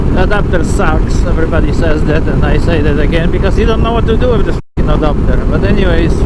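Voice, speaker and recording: Over noticeable background noise and audible room echo, a man talks at a very fast pace with hardly any pauses and very even loudness. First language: Polish. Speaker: motorcycle vlogger. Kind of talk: casual vlog monologue. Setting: riding a motorcycle outdoors.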